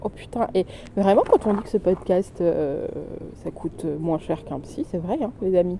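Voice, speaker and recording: Noticeable background noise sits behind a woman at a medium pitch. She speaks at a fairly slow pace with lively intonation. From southern France. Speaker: podcaster sharing her grief. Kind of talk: personal audio diary. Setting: outdoors in a cemetery.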